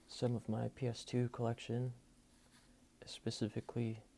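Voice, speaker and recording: The speaker is a soft-spoken man. His pace is moderate. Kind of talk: casual talk to camera.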